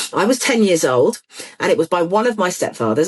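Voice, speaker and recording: Animated and fairly quick, a woman speaks in a British accent, with a dry, close sound and no echo. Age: 60s. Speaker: ADHD campaigner and author. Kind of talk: interview.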